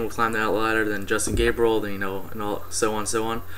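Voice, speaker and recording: Through noticeable background noise and audible room echo, a man speaks at medium pitch and a fairly quick pace in a monotone, flat intonation. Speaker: wrestling fan vlogger. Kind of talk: casual event review. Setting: webcam recording at home. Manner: fast; hesitant, many fillers.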